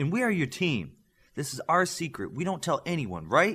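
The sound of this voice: On a very clean recording with a silent background, a man puts on a character voice with big pitch swings. His pitch is fairly high, his tone fairly bright with a slightly husky edge. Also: moderate pace.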